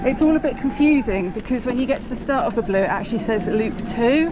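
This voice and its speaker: A woman with an English accent and a fairly high pitch, plus noticeable background noise and audible room echo. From England. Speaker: mountain bike vlogger. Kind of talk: casual vlog narration. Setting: outdoors on mountain bike trails. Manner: casual, hesitant with fillers.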